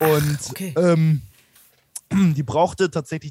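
A man speaks at a moderate pace with a fairly high pitch, a dark, mellow tone and fairly even intonation, in a dry, close sound with no echo. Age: 20s. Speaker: sports commentator. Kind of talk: casual interview.

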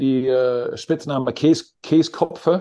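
Very slowly and with fairly even intonation, a man speaks in a fairly high, dark, mellow voice. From Netherlands. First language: Dutch (speaking German). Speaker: basketball coach. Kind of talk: interview. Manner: halting.

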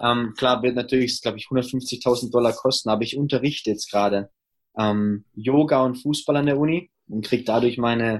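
At a moderate pace and medium pitch, a man talks in a normal speaking voice with fairly even intonation. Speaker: former pro footballer, college coach. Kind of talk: interview.

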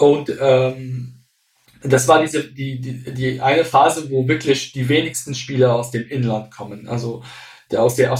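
In a flat, monotone delivery, a man keeps a medium pitch and a moderate pace. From Syria. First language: Arabic (speaking German). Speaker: football fan culture expert. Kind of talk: casual interview. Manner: hesitant, many fillers.

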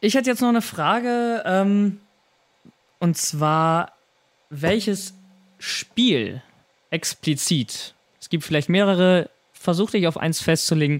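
Pitched high, a man speaks at a very slow pace with long, frequent pauses. His intonation is lively while his loudness stays very even. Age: 20s. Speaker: podcast host. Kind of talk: casual chat.

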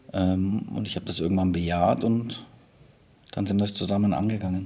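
A man's voice sits very deep and low, carrying a dark, mellow tone. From Munich, Bavaria. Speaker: football assistant coach. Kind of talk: interview. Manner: halting.

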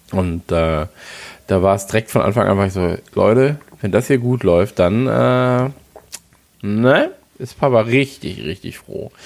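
Speaking at a fairly slow pace, a man uses lively intonation and a fairly low pitch, with long, frequent pauses. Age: 30s. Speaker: football fan podcast co-host. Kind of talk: casual chat.

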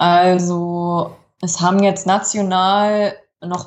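The speaker is a woman. Her pitch is medium. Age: 30s. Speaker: rower and teacher. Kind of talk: interview.

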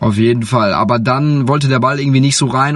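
He talks at a very fast pace. This man's pitch is medium, with ordinary pitch variation. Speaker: sports podcast host. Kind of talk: casual chat. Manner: animated.

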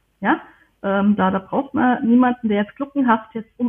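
With ordinary pitch variation and a fairly high pitch, a woman delivers her words at a moderate pace. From Germany. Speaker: historian and archivist. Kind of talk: interview. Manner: halting, many fillers.

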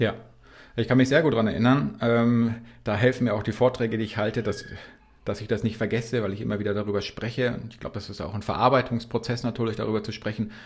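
A man at medium pitch speaks at a very fast pace, somewhat breathy, with fairly even intonation and big swings in loudness. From Bavaria (Regensburg). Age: 40s. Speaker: para-cyclist. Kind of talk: interview.

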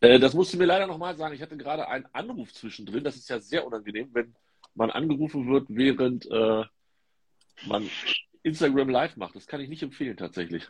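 A man's medium-pitched voice at a fairly quick pace, lively in intonation, with big swings in loudness. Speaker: football tipping podcast host. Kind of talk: casual chat. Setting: Instagram live video stream.

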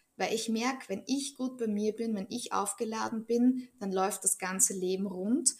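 At a moderate pace and with fairly even intonation, this woman talks in a fairly high, somewhat breathy voice. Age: 30s. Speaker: Bach flower practitioner. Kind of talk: interview.

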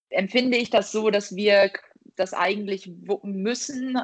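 Moving very slowly, a woman speaks in a medium-pitched voice. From northern Germany, Buxtehude. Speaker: professional handball player. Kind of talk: interview. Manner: hesitant, many fillers.

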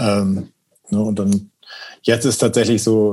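A man with a fairly low pitch speaks in a monotone, flat way at a moderate pace. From northern Germany, rural Schleswig-Holstein. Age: 40s. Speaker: drummer and osteopath. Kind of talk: casual chat.

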